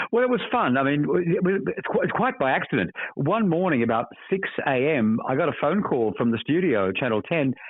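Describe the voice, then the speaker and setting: A man with an Australian accent and a fairly high pitch speaks at a fairly quick pace, his pitch swinging very widely while his loudness stays very even. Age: 70s. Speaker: actor. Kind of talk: interview. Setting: phone call. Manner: halting, repeats words.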